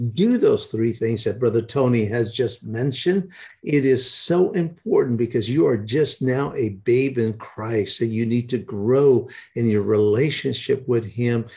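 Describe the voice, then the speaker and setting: Over a quiet background, a man talks at a fairly slow pace in a somewhat breathy voice with a dark, mellow tone and ordinary pitch variation. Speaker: broadcast host and evangelist. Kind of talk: live-streamed prayer broadcast with a ministry intro. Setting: online broadcast. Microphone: webcam.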